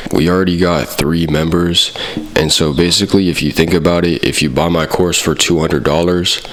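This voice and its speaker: Noticeable background noise sits under a man's very deep, low voice. He speaks at a moderate pace in a flat monotone. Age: 20s. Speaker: comedy youtuber. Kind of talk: comedic parody monologue. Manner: casual.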